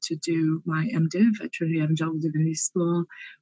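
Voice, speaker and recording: Speaking with an American accent, a woman uses a fairly low pitch and a dark, mellow tone at a fairly quick pace. The sound is dry and close with no echo. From US, Pennsylvania. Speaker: theology professor. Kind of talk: interview.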